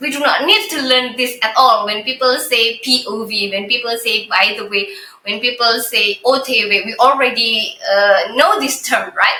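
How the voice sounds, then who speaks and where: With a high pitch and fairly even intonation, a woman speaks at a fairly slow pace amid noticeable background noise and audible room echo. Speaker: podcast co-host. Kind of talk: casual chat. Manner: halting.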